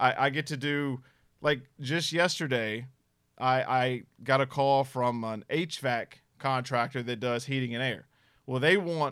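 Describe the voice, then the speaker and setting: Recorded very cleanly against a silent background, the speech comes at a fairly slow pace with fairly even intonation. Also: man. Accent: Southern US. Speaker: paranormal investigator. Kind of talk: casual chat.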